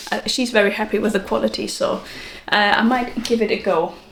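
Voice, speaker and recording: A woman's fairly high voice at a moderate pace, fairly even in intonation, with noticeable background noise. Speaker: knitting podcaster. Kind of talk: casual talk to camera. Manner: chatty, hesitant with many fillers.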